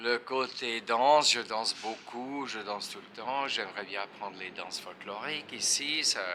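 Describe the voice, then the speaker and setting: A medium-pitched man in a Swiss accent, with hardly any pauses, ordinary pitch variation, big swings in loudness and noticeable background noise. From Switzerland, French-speaking (Neuchâtel). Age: 70s. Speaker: retired guitarist. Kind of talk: interview. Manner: halting.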